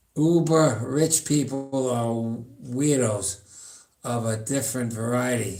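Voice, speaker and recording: A man's medium-pitched voice at a very slow pace, with ordinary pitch variation and audible room echo. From New York, Long Island. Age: 70s. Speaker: powerlifter and fitness streamer. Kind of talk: casual live-stream chat. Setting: home gym. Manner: rambling, halting.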